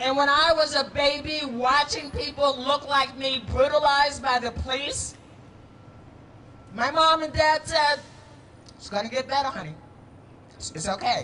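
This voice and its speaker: A woman talks in a raised, projected voice at a high pitch, with ordinary pitch variation and big swings in loudness. Her moderate pace is broken by long, frequent pauses, and there is noticeable background noise. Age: 60s. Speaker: city councilor. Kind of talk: public speech at a rally.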